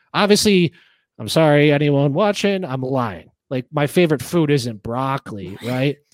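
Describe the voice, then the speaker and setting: A man's unremarkable speaking voice at a fairly high pitch, with lively intonation, a moderate pace and a dry, close sound with no echo. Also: very clean recording, silent background. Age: 20s. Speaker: podcast host. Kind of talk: casual chat.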